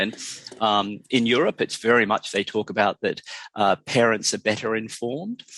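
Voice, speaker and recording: With an Australian accent, a man talks at a moderate pace in a dry, close sound with no echo. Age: 60s. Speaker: drug education expert. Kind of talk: interview. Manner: halting.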